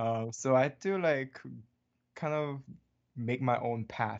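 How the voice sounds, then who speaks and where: A man speaks with a Korean accent. His pitch varies in an ordinary way. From Hawaii. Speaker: animation artist and director. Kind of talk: interview.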